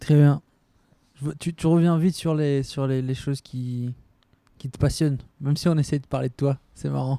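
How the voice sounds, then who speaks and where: A man speaks at a moderate pace in a dark, mellow tone with monotone, flat intonation. Long, frequent pauses break up his speech, and the sound is dry and close with no echo. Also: fairly high pitch for a man. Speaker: podcast host. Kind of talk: interview. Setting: at guest's home.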